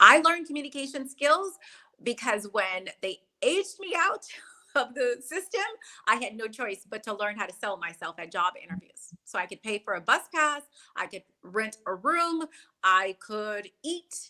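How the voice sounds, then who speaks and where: A woman with an American accent speaks at a moderate pace in a fairly high, bright and sharp voice, her animated tone marked by very wide pitch swings and big swings in loudness. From US South, New Orleans. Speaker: sales and networking coach. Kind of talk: interview. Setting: livestream video call.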